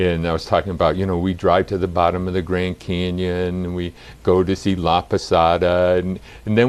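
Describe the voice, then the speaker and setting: A man with a Massachusetts accent moves at a fairly quick pace in a very deep, low pitch. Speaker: college dean and gerontologist. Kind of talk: interview.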